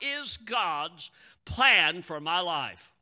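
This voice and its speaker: A man speaks in a raised, projected voice with a bright, sharp tone and very wide pitch swings. The background is quiet. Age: 80s+. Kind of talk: sermon. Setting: church.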